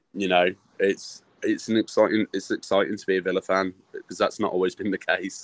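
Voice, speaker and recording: A man with a Birmingham accent at a fairly quick pace, dry and close with no echo. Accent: Birmingham (Brummie) English. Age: 30s. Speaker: football fan. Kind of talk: casual chat.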